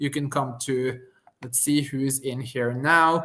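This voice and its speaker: This voice has a Norwegian accent. Its tone is bright and sharp. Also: man. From Norway. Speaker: company founder. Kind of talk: live webinar demo conversation.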